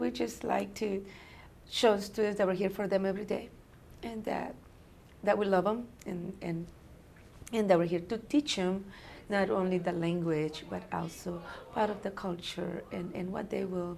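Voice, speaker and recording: A woman of medium pitch speaks at a moderate pace with vocal fry and ordinary pitch variation. Long, frequent pauses break up her speech, and the room echo is audible. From abroad, immigrant. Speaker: teacher of newcomer students. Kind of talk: interview.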